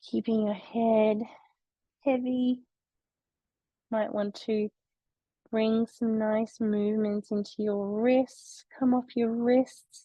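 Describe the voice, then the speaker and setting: A woman's gentle, calm, somewhat breathy voice, very slow and flat in intonation, with long, frequent pauses and a dry, close sound with no echo. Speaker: yoga teacher. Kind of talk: guided yoga class instruction.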